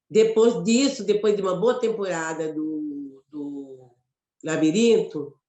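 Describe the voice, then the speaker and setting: Very slowly, a woman speaks with lively intonation and big swings in loudness. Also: medium pitch for a woman. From Mato Grosso, Brazil. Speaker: actress and poet. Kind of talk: interview conversation. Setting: web radio live.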